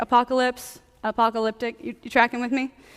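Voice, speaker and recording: A loud woman's voice at a fairly quick pace, dry and close with no echo. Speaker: preacher. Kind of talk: sermon. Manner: fast.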